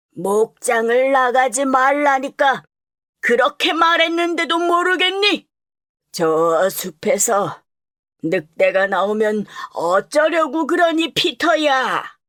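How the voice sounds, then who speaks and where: A put-on character voice, female-sounding and high-pitched, swings very widely in pitch. The pace is fairly slow. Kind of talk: dubbing demo.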